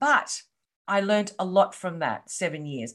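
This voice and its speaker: At a moderate pace, a woman with an Australian accent speaks at medium pitch. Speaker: coach and entrepreneur. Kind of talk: interview. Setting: video call.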